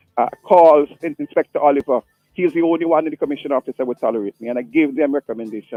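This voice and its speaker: Music plays in the background as a man talks very fast with an animated tone. His pitch is fairly high, with ordinary variation. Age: 60s. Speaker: caller. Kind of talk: phone-in call.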